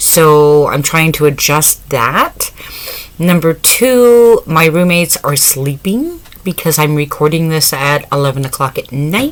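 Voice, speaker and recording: The voice is loud and moves at a fairly slow pace. Background noise is noticeable. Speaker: craft YouTuber. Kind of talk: casual vlog chat. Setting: home, late at night. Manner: speaking quieter than usual; talkative, normally loud.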